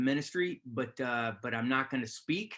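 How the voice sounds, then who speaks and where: Here a man talks at a medium pitch with ordinary pitch variation. His pace is moderate. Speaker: army chaplain. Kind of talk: webinar talk. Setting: video call. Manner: loud.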